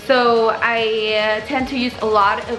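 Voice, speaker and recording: A woman speaks at a fairly high pitch. Her voice carries audible room echo, with music in the background. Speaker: beauty vlogger. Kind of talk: makeup tutorial. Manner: casual, filler-heavy.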